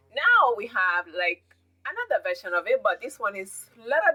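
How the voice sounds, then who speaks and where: With music in the background, a woman with a fairly high voice and very wide pitch swings is heard in a dry, close sound with no echo. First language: not English (English is third language). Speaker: beauty and fashion vlogger. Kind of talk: product recommendation vlog.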